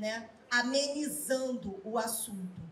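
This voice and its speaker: A woman speaks at a high pitch with ordinary pitch variation. Light background noise and audible room echo are present. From Brazil, Rio de Janeiro. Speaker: university professor and researcher; speaker. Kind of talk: panel talk at book launch. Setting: live event with audience. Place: hall. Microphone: handheld.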